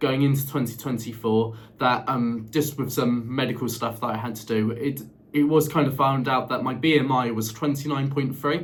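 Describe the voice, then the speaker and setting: With audible room echo, a man speaks at a moderate pace in a somewhat breathy, medium-pitched voice with fairly even intonation. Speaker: vlogger. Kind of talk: casual vlog talk. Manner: halting, repeats words and fillers.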